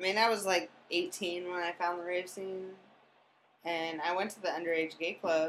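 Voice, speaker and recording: A woman with a fairly low voice speaks at a moderate pace, her intonation fairly even but her loudness swinging widely. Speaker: podcast guest. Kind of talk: casual chat.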